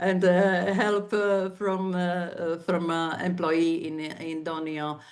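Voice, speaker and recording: With a Slovak accent, a woman speaks very slowly in a fairly low, monotone, flat voice, with audible room echo. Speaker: civic activist. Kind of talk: conference talk. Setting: online event. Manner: halting, many fillers.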